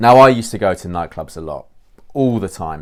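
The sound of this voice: Talking at a fast pace, a man uses ordinary pitch variation.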